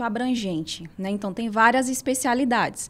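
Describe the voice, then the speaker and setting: Someone with a Ceará accent talks at a moderate pace with ordinary pitch variation in a very clean recording with a silent background. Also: woman. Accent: Northeastern Brazilian (Ceará). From Ceará interior and São Paulo, Brazil. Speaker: physiotherapist and spa owner. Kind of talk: interview.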